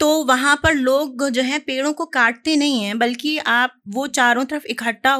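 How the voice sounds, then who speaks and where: In a very clean recording with a silent background, a woman projects a raised, high-pitched voice in a bright, sharp tone with ordinary pitch variation. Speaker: poet. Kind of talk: casual introduction to audience. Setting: live stage with audience.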